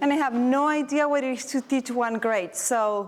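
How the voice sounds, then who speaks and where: A high-pitched woman's voice with a warm tone, ordinary pitch variation and audible room echo. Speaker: teacher and presenter. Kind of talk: conference workshop presentation. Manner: moderately paced, deliberately not too fast; warm, encouraging.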